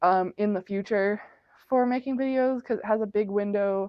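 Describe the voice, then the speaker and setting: This woman speaks at a moderate pace and a medium pitch, with fairly even intonation. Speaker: vlogger. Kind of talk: casual vlog talk. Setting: at home, at night. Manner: loud; rambling, many fillers.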